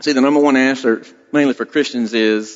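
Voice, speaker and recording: Fairly quick and fairly even in intonation, a man talks with a strong Southern US accent. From South Carolina, US South (Blackville). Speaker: state trooper, lay preacher. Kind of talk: sermon. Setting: church. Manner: casual, self-deprecating.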